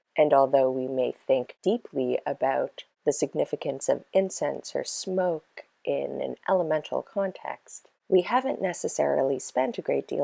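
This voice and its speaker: Quiet and at a fairly slow pace, a woman speaks in a dry, close sound with no echo. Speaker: witchcraft practice vlogger. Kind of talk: lecture. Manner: quiet, low-voiced.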